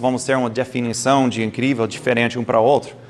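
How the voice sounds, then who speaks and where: A man is talking. He speaks with an English accent. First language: English (speaking Portuguese). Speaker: doctor giving a health talk. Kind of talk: lecture. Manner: halting, with stumbles and self-corrections.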